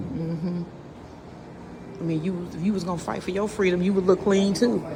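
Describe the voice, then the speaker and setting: Animated and fairly quick, a woman talks in a medium pitch. Audible room echo and noticeable background noise surround her. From St. Louis, Missouri. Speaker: vlogger. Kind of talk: casual chat. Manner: loud.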